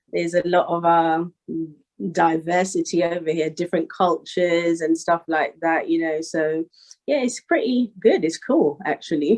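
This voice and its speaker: A woman with a London accent talks at a moderate pace. Her fairly low voice shows ordinary pitch variation. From Northwest London, England. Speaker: rapper. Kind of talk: interview. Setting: call.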